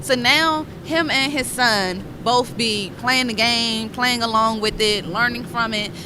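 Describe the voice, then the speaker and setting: Speaking in a strong Southern US accent, a woman with a fairly high pitch sounds animated, talking at a fairly slow pace with hardly any pauses. Noticeable background noise and audible room echo fill the recording. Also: ordinary pitch variation. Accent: thick Southern drawl. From Washington DC. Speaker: tech entrepreneur, game developer. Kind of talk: podcast interview. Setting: conference podcast booth.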